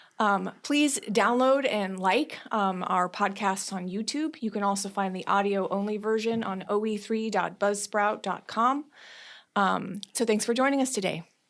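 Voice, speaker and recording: In a very clean recording with a silent background, a woman talks in a normal speaking voice. Her pitch is medium with ordinary variation, and her pace is fairly slow. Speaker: union podcast host. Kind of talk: podcast interview.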